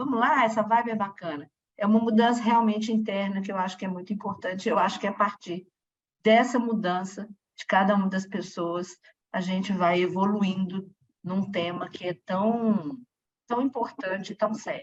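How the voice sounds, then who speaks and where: A woman is speaking here. Her voice is somewhat breathy, with ordinary pitch variation. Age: 60s. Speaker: audience participant. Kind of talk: audience comment at a talk. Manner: halting.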